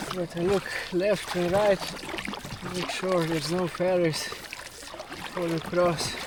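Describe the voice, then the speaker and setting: Over noticeable background noise, a man speaks at a high pitch and a fairly slow pace with monotone, flat intonation. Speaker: outdoor adventure vlogger. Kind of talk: vlog narration. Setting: outdoors, kayaking at sea. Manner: casual, jokey.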